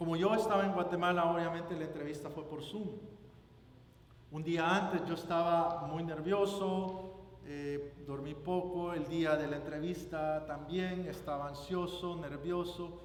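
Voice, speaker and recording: The speech comes at a fairly slow pace with fairly even intonation, amid audible room echo and noticeable background noise. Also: man, high pitch for a man. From El Salvador. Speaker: guest preacher. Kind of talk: sermon.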